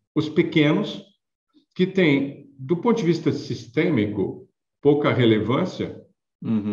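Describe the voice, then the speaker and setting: With audible room echo, a man's fairly high voice makes very wide pitch swings and shows vocal fry. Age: 60s. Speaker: payments consultant and author. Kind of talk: interview.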